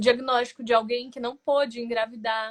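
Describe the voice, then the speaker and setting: A woman is speaking. Her pitch is fairly high. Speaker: lay preacher. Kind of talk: sermon.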